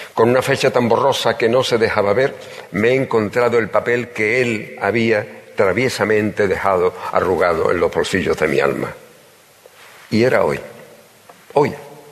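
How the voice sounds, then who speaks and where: Over noticeable background noise, a man speaks in a solemn tone at a moderate pace, with very even loudness and long, frequent pauses. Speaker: pregonero giving the Holy Week proclamation. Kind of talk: pregón oratory, solemn and emotional. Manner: formal, solemn, emotive, rhetorical and lyrical; nervous and emotional at first.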